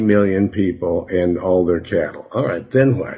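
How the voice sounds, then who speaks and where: With a dark, mellow tone and a somewhat breathy quality, a man speaks at a moderate pace. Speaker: radio pastor. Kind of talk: sermon. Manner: halting.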